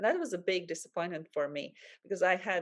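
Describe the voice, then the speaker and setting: Pitched fairly low, the woman keeps up a fairly quick pace. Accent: Latvian. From Latvia, Valmiera. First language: Latvian. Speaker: life coach. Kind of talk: interview. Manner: halting.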